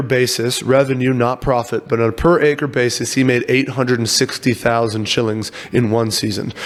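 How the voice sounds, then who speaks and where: A man with an American accent and medium pitch, very even loudness, hardly any pauses and noticeable background noise. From US, Virginia. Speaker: startup CEO. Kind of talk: podcast interview. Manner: fast.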